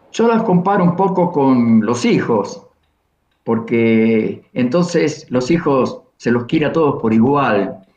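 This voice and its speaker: A man with a fairly high pitch talks at a very slow pace, his pitch swinging very widely while his loudness stays very even. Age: 70s. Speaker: poet and singer-songwriter. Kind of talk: interview.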